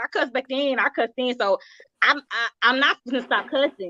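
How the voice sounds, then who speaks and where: Bright and sharp, a high-pitched woman speaks fairly quickly in a raised, projected, animated voice with lively intonation, the sound dry and close with no echo. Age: 40s. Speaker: talk show host. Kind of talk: casual chat. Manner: fast.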